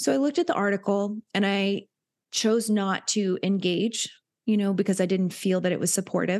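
With an American accent, a woman talks at a medium pitch and a moderate pace in an ordinary speaking voice. The background is quiet. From US South, Hilton Head, South Carolina. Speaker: nurse and wellness coach. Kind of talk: casual interview chat.

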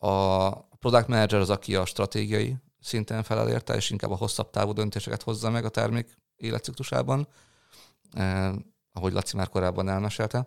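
On a very clean recording with a silent background, a man with a plain, everyday voice speaks at a fairly low pitch and a fairly quick pace with ordinary pitch variation. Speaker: product manager. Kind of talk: interview. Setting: office.

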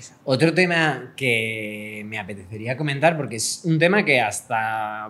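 A man speaks at a medium pitch. The variation in his pitch is ordinary. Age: 30s. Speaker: podcast co-host. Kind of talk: casual chat.

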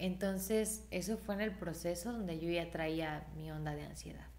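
At a fairly slow pace, a woman talks in a fairly low pitch with a normal speaking voice. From Mexico, Irapuato (Guanajuato). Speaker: singer. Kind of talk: casual chat.

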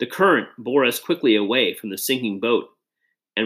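The speaker is reading aloud in a natural voice with lively intonation against a quiet background.

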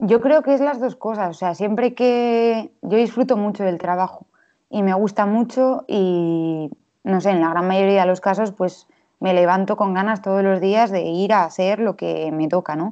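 A woman's unremarkable speaking voice, medium in pitch, at a fairly slow pace with ordinary pitch variation. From Spain, Valladolid. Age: 20s. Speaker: illustrator. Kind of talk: casual interview.

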